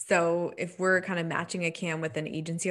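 Against a quiet background, a woman with an unremarkable speaking voice talks at a moderate pace, her pitch fairly low and her intonation fairly even. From Nova Scotia, Canada. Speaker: digital marketing agency owner. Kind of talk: casual interview chat.

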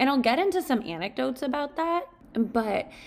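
A woman speaks with lively intonation and vocal fry. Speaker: podcast host and coach. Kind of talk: solo podcast monologue. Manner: reflective, conversational.

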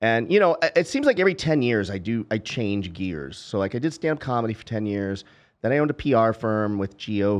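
An ordinary speaking voice from a man at medium pitch, fairly quick in pace, against a quiet background. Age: 50s. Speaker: entrepreneur and podcast host. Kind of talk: casual chat.

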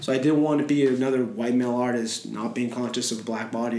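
A man's medium-pitched voice with fairly even intonation, audible room echo and noticeable background noise. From Montreal, Canada. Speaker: painter. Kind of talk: casual interview.

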